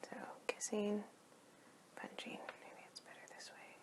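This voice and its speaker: Someone is whispering at a fairly slow pace against noticeable background noise. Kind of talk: ASMR comic book review. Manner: soft-spoken.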